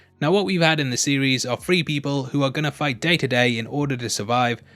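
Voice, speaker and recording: Fairly quick speech with music in the background. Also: man. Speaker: YouTube film and TV reviewer. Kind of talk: scripted commentary.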